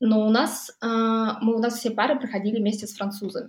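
A woman's fairly high, somewhat breathy voice at a moderate pace, in a monotone, flat intonation. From Buryatia, Russia (Ulan-Ude). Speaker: electricity price analyst, mathematician. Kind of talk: casual interview conversation. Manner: hesitant with filler sounds.

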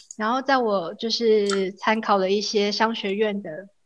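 Against a quiet background, a woman with a fairly high pitch speaks at a fairly slow pace in a monotone, flat intonation. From Taiwan. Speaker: graduate student. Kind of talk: interview.

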